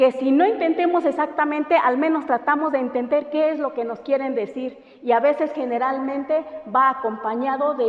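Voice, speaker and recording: Noticeable background noise sits behind a woman with a high pitch who speaks at a moderate pace with ordinary pitch variation. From Oaxaca coast, Mexico (Santa María Huazolotitlán). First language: Mixtec (speaking Spanish). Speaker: language teacher. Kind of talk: lecture. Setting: classroom. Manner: hesitant, many fillers.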